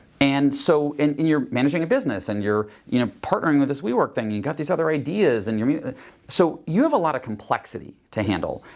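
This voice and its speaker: Talking very fast with hardly any pauses, a man with a fairly high pitch uses lively intonation on a very clean recording with a silent background. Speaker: executive coach and software founder. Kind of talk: interview answer.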